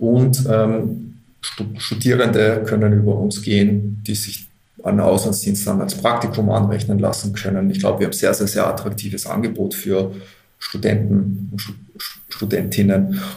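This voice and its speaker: Over noticeable background noise and audible room echo, a man with a fairly low pitch talks at a moderate pace in a monotone, flat intonation. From Austria, Upper Austria (Linz). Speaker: manager of a volunteer service organization. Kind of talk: interview.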